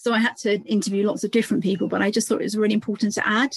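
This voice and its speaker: A woman's fairly high voice with vocal fry, fairly even intonation and a very fast pace, in a dry, close sound with no echo. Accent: southern England. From England, between London and Cambridge. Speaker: parenting author. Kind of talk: interview conversation.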